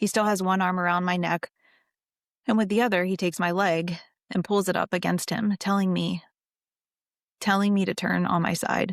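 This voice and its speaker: At a moderate pace with long, frequent pauses, a woman speaks at medium pitch in a monotone, flat way, her loudness very even and the sound dry and close with no echo. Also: very clean recording, silent background. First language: not English. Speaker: abuse survivor giving testimony. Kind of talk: testimony read aloud.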